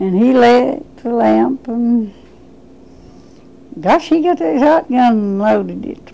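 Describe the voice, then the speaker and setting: A woman talks at a very slow pace with long, frequent pauses. Her voice is high-pitched, with lively intonation. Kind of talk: interview answer.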